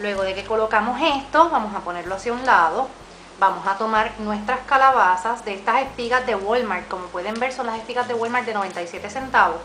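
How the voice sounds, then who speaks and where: A woman speaks in a Puerto Rican accent at a fairly quick pace, her pitch fairly high with ordinary variation. Noticeable background noise and audible room echo fill the recording. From Puerto Rico. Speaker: DIY crafts YouTuber. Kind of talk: tutorial.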